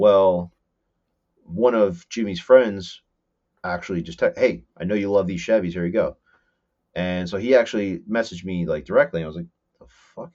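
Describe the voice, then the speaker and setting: Speaking with a New Jersey accent, a man uses a fairly low pitch with ordinary variation, a moderate pace, long, frequent pauses and big swings in loudness. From northern New Jersey, Morris County. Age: 30s. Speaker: fabricator and mechanic. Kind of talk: casual chat.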